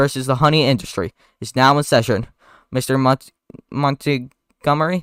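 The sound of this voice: An unforced reading voice with fairly even intonation. Behind it, the background is quiet.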